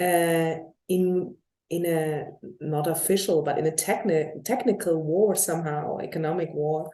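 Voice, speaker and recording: In a room with audible echo, a woman speaks at a fairly slow pace. Her voice sits at a fairly low pitch, with a dark, mellow tone and fairly even intonation. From Germany. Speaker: journalist interviewer. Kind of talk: interview. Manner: halting.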